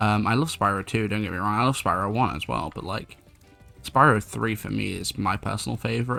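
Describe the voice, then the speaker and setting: Quiet, very fast speech from a man with a fairly low pitch, a bright, sharp tone, vocal fry and ordinary pitch variation. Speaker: gaming YouTuber and streamer. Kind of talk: gameplay commentary. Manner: a little quiet, late-night recording.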